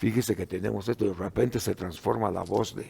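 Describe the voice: A man speaks at a moderate pace in a fairly low voice, his dark, mellow tone touched by vocal fry and his intonation fairly even.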